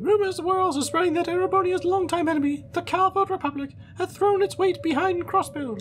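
Over clear background noise, a woman uses a put-on character voice at an extremely high pitch and a fairly quick pace. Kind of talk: formal, dramatic. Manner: narrating.

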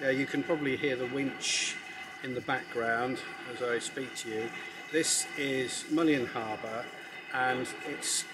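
Against loud background noise, a man talks at a fairly slow pace, leaving long, frequent pauses. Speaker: travel vlogger. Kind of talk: casual vlog chat. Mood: relaxed, friendly. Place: open country.

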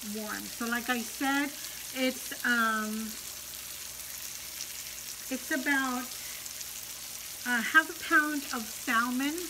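A woman's high-pitched voice with ordinary pitch variation, set against noticeable background noise. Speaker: mukbang vlogger. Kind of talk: casual vlog chat. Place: home room. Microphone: phone near.

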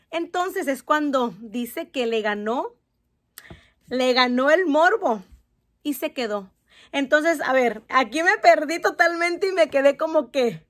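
Against a quiet background, a woman with a Mexican accent speaks at a high pitch and a fairly slow pace. Her tone is animated and her intonation lively. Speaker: youtuber. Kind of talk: reading aloud. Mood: warm, encouraging. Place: home room. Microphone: phone near.

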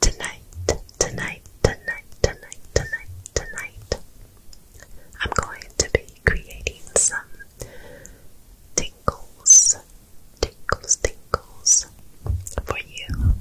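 Whispered words come at a very slow pace, interrupted again and again by long pauses. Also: woman. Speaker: ASMR content creator. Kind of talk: ASMR trigger words. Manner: soft-spoken, soothing. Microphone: studio mic.

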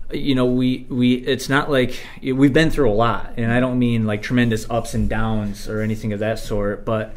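A man talks at a moderate pace with hardly any pauses. His intonation stays fairly even. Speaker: podcast guest. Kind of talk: interview answer. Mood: warm, grateful. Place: studio.

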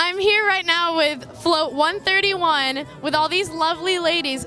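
Faint music plays behind a woman whose raised, projected voice shows ordinary pitch variation in a dry sound with no echo. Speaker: parade reporter. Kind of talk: interview questions. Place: street. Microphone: handheld.

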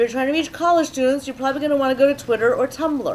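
A woman with a high-pitched voice. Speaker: social media strategist. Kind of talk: panel presentation. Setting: live event with audience.

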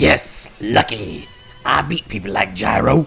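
Over faint background music, a man speaks at medium pitch in a cartoonish character voice. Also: fairly slow pace. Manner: whiny then gleeful.

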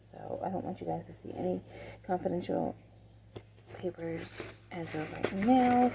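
With vocal fry and big pitch swings, a woman speaks at a fairly low pitch in a slightly mellow tone.

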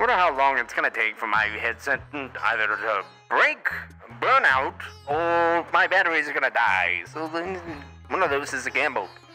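Clear music plays behind a put-on character voice delivered at a moderate pace. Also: man, fairly high pitch for a man. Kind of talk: voice trolling in online game chat. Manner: old-time 1920s radio announcer style; theatrical, showman-like.

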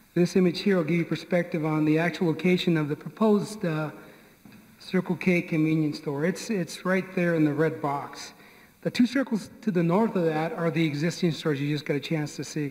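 Fairly quick delivery with ordinary pitch variation. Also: man, high pitch for a man. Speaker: town planning staff. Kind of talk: public meeting presentation. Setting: public meeting room. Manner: halting. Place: meeting room.

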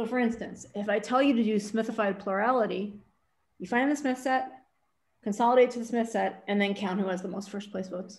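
A woman talks at a fairly quick pace. Her fairly high pitch shows ordinary pitch variation. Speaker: math professor. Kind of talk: lecture. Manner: fast. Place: home room. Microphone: webcam.

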